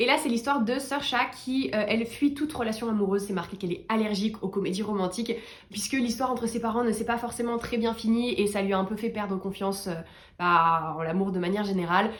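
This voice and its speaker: Very fast delivery comes with pitch that varies in an ordinary way. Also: woman, fairly high pitch for a woman. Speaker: book reviewer youtuber. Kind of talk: casual book review vlog. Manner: animated.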